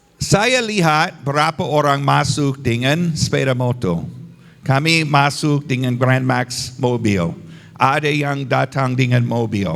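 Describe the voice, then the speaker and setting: Speaking very slowly with a non-native accent, a man keeps a medium pitch and ordinary pitch variation. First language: not Indonesian (speaking Indonesian). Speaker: visiting pastor. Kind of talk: sermon. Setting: church service. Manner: halting, simple phrasing.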